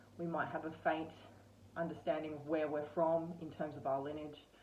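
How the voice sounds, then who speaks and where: A fairly quick pace in an Australian accent, with noticeable background noise. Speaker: spiritual content creator. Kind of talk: casual monologue. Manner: hesitant, many fillers.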